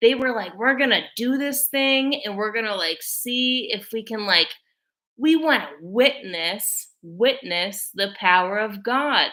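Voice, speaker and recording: In a very clean recording with a silent background, a woman speaks loudly at a fairly high pitch with a bright, sharp tone. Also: fairly slow pace. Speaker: video blogger. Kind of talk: casual monologue to camera. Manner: filler-heavy, frequent likes and ums.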